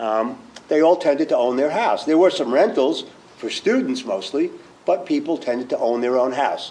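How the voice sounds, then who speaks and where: Noticeable background noise sits behind a man speaking at a moderate pace. His fairly high pitch makes very wide swings. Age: 60s. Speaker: fund manager, former professor. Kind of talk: panel presentation. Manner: halting, many fillers.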